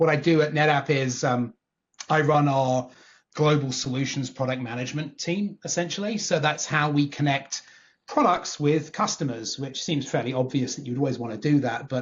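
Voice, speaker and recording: Somewhat breathy, a man speaks with fairly high pitch and ordinary pitch variation. His pace is moderate. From England, Northwest London. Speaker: tech executive. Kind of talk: podcast interview. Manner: animated.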